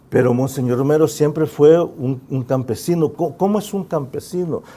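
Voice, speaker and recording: A man with a Salvadoran accent, fairly high pitch, ordinary pitch variation and a moderate pace. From El Salvador, San Salvador. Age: 60s. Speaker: musician and author. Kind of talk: interview.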